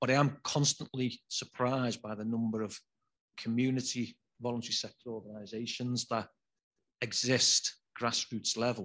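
This man talks in a Liverpool accent at a moderate pace. His pitch is medium and his intonation monotone and flat. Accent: Scouse (Liverpool). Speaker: regional government officer. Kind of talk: panel discussion.

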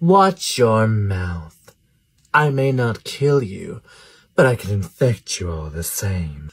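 In a put-on character voice with a sinister tone, a man speaks at a medium pitch and a very slow pace. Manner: gloating, sinister.

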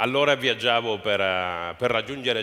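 A man talks at a fairly slow pace. He has a Spanish accent. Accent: Spanish accent in Italian. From southern Spain, Almería; southern Spain. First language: Spanish (speaking Italian). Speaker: entrepreneur; guest. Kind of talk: interview on stage. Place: stage. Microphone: headset.

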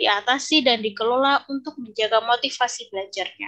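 Against a quiet background, a woman speaks with a high pitch and a bright, sharp tone. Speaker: English lecturer. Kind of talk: conference presentation. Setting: video call. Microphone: video call.

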